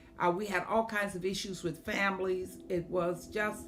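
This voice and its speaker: At a fairly slow pace, a woman with a medium-pitched voice speaks amid audible room echo. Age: 70s. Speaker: state senator and former school principal. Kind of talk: testimony. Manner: hesitant with frequent fillers.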